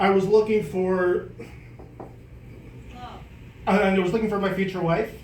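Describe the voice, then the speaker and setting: In a room with audible echo, a man with a high pitch speaks in a monotone, flat intonation. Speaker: comedian. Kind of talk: stand-up. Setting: stage with audience. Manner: halting.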